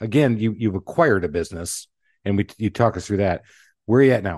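Fairly low male pitch with lively intonation, a man at a fairly quick pace over a quiet background. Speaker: podcast host. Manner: fast talker; energetic, excitable.

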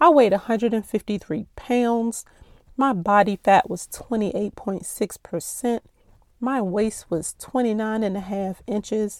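This woman has an ordinary speaking voice, fairly high in pitch, with ordinary pitch variation. She talks at a fairly slow pace, and the sound is dry and close with no echo. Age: 40s. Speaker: podcast host. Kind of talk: personal monologue.

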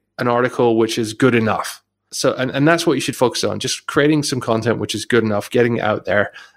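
Someone with a British accent talks at a fairly quick pace, with hardly any pauses. The recording is very clean, with a silent background. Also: man. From UK. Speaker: podcast co-host, online marketer. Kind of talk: casual chat.

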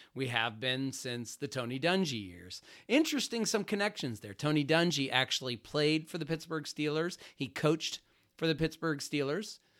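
In an unremarkable speaking voice with an American accent, a man talks at a moderate pace with a fairly high pitch and lively intonation, on a very clean recording with a silent background. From Ohio, Youngstown. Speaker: financial advisor. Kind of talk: podcast monologue.

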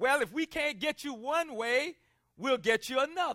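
An animated man with an American accent speaks at an extremely high pitch in a raised, projected voice, his tone bright and sharp. His intonation is lively, and the sound is dry and close with no echo. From South Carolina. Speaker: pastor. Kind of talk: sermon. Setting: church. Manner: animated, repetitive emphatic delivery.

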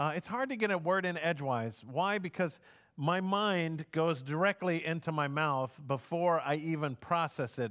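At a fairly slow pace, a man speaks in a normal speaking voice. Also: very clean recording, silent background. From Houston, Texas. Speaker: pastor. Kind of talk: sermon.

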